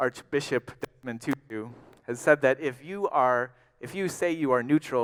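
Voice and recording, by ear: Someone reads aloud in a natural voice, with lively intonation.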